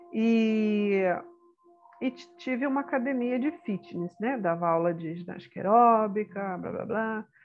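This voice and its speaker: Over music in the background, the voice moves at a fairly slow pace with lively intonation. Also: woman, fairly high pitch for a woman. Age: 60s. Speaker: retired teacher and spiritual therapist. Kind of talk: autobiographical talk. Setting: guest on a program. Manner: halting.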